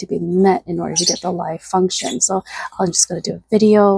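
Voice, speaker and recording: Soft-spoken, a woman talks at medium pitch with ordinary pitch variation and a dark, mellow tone, in a dry, close sound with no echo. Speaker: video creator. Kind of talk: casual vlog chat. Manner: hesitant, many fillers.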